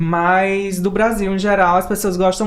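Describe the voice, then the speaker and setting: A woman's fairly low, monotone voice with flat intonation and a Pernambuco accent, at a fairly slow pace over noticeable background noise. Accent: Pernambuco Brazilian Portuguese. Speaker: writer. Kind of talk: panel discussion.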